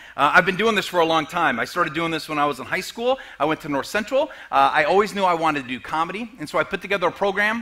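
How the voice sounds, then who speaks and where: Speaking at a very fast pace, the man has a high pitch and lively intonation. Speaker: comedian and motivational speaker. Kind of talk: sermon. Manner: halting.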